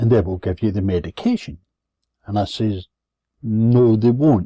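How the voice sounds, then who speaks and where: A dark, mellow tone comes from a man. His voice is dry and close, with no echo. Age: 70s. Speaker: vlogger telling personal complaint. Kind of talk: personal rant. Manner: sardonic storytelling.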